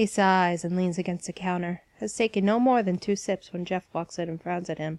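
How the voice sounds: This passage is delivered in a natural reading voice whose intonation is fairly even.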